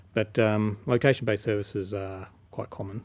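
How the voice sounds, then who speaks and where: Fairly low-pitched and somewhat breathy, a man speaks in a monotone, flat intonation. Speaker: telecommunications engineer. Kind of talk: interview answer. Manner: soft-spoken.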